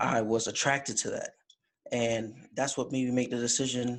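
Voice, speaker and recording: Over a silent background on a very clean recording, a man talks at a medium pitch. He has an American accent and a monotone, flat delivery at a moderate pace. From Jamaica. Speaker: college student, fraternity officer. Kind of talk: interview.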